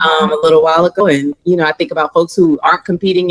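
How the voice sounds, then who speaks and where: In a dry, close sound with no echo, a woman with a fairly low pitch speaks with fairly even intonation. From New Orleans, US South. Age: 30s. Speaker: psychologist. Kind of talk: interview.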